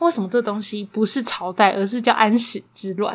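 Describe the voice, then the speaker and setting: A woman's fairly high, somewhat breathy voice with a Taiwanese accent at a fairly quick pace. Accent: Taiwanese Mandarin. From Taiwan, Taipei. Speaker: podcast host. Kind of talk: casual storytelling chat.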